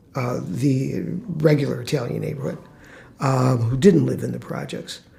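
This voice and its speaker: A man with an American accent speaks at a moderate pace and medium pitch. His tone is dark and mellow, with vocal fry. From Chicago, US Midwest. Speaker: former public housing resident, interviewee. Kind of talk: oral history interview. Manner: halting, many fillers.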